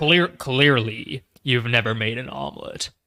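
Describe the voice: This man uses a put-on character voice at a medium pitch. His pace is fairly slow.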